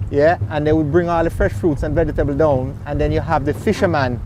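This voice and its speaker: A man with a Jamaican accent and fairly high pitch speaks at a fairly quick pace against noticeable background noise. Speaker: boat captain and tour operator. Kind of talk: interview answer.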